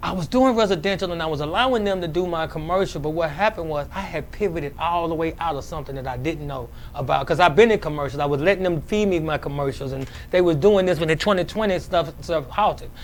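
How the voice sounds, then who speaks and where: A man talks at a very fast pace and high pitch with hardly any pauses. Noticeable background noise is present. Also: ordinary pitch variation. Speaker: cleaning business owner. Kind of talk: interview. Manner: halting.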